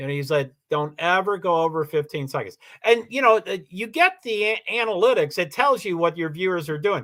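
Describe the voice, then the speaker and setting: The voice has a bright, sharp tone, lively intonation and a moderate pace. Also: man, high pitch for a man. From Kentucky (Louisville). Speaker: live streamer. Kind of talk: casual livestream monologue. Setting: livestream. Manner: repeats words, frequent fillers and restarts; rambling, talkative.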